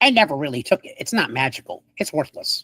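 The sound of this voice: This put-on character voice sits at a middle pitch and races along at a very fast pace.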